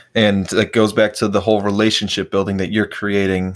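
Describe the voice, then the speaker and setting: In an American accent, a man keeps a moderate pace with monotone, flat intonation. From US Midwest, Chicago suburbs. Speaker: podcast host, jiu-jitsu athlete. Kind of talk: casual chat. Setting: remote call.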